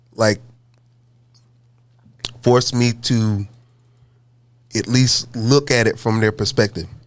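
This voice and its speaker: A man talks at a very slow pace, leaving long, frequent pauses. His medium-pitched voice keeps fairly even intonation. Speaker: band frontman and musician. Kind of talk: interview answer.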